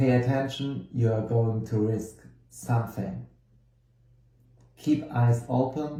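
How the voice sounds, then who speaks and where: A man with a German accent, medium pitch, and a dark, mellow tone, somewhat breathy, at a very slow pace with long, frequent pauses, very even loudness, fairly even intonation, and audible room echo. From Germany. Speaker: tarot card reader and course teacher. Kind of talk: lecture. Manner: halting, with many fillers.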